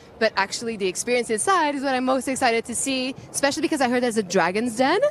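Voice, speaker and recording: Over noticeable background noise, a woman with a high pitch talks at a very fast pace, her tone animated and her intonation lively. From Portugal. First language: Portuguese. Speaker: live event host. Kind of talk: live event hosting. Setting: outdoors at a premiere, live stream.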